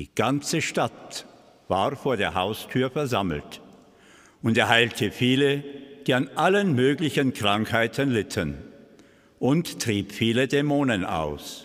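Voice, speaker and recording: A man with vocal fry and lively intonation talks at a very slow pace, leaving long, frequent pauses, over a quiet background. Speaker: Gospel reader (priest or deacon). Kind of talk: liturgical Gospel reading. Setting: church. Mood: calm, solemn. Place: church. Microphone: podium.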